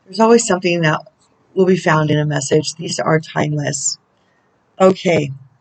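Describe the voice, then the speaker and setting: A woman with a very deep, low pitch talks at a moderate pace. Her pitch variation is ordinary, and she takes long, frequent pauses. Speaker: spiritual counselor and oracle reader. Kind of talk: oracle channeling video. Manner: casual, chatty.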